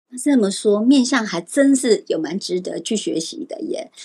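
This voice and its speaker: Her pitch swings very widely as this woman speaks. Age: older than host, voice sounds younger. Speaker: Ziwei astrology teacher, guest. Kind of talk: casual interview chat about face reading.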